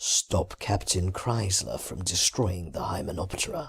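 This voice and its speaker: In a put-on character voice, a man speaks very deep and low at a moderate pace, with ordinary pitch variation. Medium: read story.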